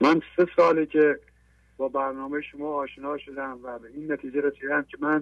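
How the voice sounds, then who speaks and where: Here is a man with a normal speaking voice, pitched fairly high. He talks at a moderate pace, with big swings in loudness. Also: fairly even intonation. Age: 50s.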